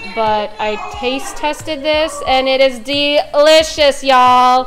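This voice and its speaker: A woman speaks with clear music in the background. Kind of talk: casual vlog chat. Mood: cheerful, excited. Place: kitchen. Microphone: phone near.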